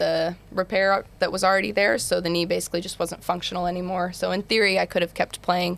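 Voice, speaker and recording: With an American accent, a woman talks in a fairly low voice marked by vocal fry and ordinary pitch variation. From Utah, US. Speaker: basketball player. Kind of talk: podcast interview. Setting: studio.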